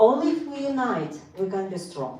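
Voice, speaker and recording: A woman in a Russian accent at a fairly slow pace, with very wide pitch swings, audible room echo and noticeable background noise. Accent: Russian accent, non-native English. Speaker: local party official. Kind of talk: speech at club meeting.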